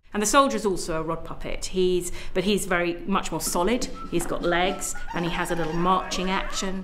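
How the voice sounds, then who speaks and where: Over noticeable background noise, a woman talks at a medium pitch and moderate pace, with ordinary pitch variation and hardly any pauses. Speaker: puppet theatre maker. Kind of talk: interview answer.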